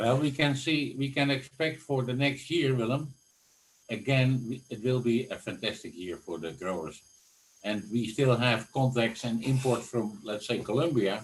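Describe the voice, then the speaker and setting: Somewhat breathy speech at a moderate pace, with ordinary pitch variation. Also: man, medium pitch for a man. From Netherlands. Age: 70s. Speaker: flower industry executive. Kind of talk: interview. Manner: animated.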